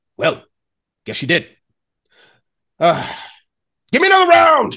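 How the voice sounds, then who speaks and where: The pitch is fairly high. It is a put-on character voice. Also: moderate pace. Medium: actual play. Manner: blunt, casual.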